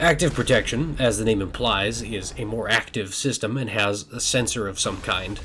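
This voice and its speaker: Over noticeable background noise, a man talks with hardly any pauses. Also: medium pitch for a man, ordinary pitch variation, moderate pace. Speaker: science fiction author and video creator. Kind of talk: educational talk while playing a video game.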